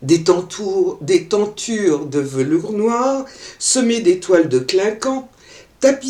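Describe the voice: This is plain reading aloud. The clip consists of that reading.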